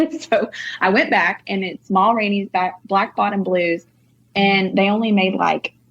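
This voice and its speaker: A woman with an American accent speaks at a fairly slow pace, with music in the background. Her pitch is medium, with ordinary variation. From North Texas. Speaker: singer-songwriter. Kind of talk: casual interview chat. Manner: animated.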